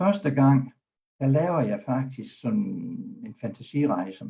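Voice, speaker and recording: A somewhat breathy man at a very slow pace, medium pitch with very wide pitch swings and big swings in loudness. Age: 70s. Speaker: doctor and hypnotherapist. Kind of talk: talk on a web broadcast.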